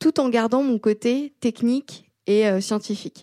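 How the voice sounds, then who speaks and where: Very slow and dark, mellow in tone, a woman speaks with ordinary pitch variation in a very clean, dry, close recording with no echo and a silent background. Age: 20s. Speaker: engineering student and developer. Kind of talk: casual interview.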